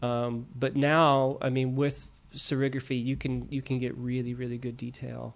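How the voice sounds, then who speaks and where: With an American accent and a medium pitch, a man speaks in a monotone, flat way at a moderate pace with hardly any pauses. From US East Coast, Maryland. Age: 40s. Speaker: painter, techno DJ and art professor. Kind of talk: casual interview. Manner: hesitant, many fillers.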